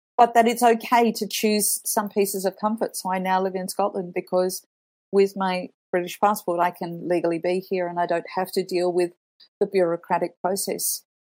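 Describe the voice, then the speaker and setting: In an Australian accent, a woman speaks. Her intonation is flat and monotone. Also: medium pitch for a woman, moderate pace. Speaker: communications professional. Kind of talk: interview.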